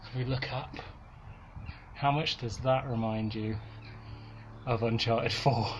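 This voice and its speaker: In a North Welsh accent, a man at medium pitch talks with an enthusiastic tone at a fairly slow pace, leaving long, frequent pauses, with audible room echo. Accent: North Wales. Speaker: gaming YouTuber. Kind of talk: vlog narration while hiking. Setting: outdoors. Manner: casual, enthusiastic.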